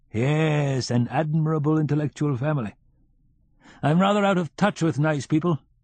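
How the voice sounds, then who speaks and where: A drawling put-on character voice at a moderate pace, with a dry, close sound and no echo. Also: man. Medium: read story. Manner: slow, drawling, deliberate.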